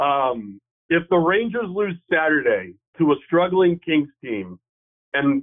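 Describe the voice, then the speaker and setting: A man's fairly high voice at a very slow pace, with ordinary pitch variation. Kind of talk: casual chat. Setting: phone call.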